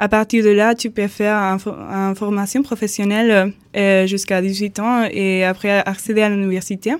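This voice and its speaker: A woman's medium-pitched, monotone voice with flat intonation and a Spanish accent, on a very clean recording with a silent background. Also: moderate pace. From Andalusia, Spain. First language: Spanish (speaking French). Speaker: volunteer. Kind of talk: radio interview. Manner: halting.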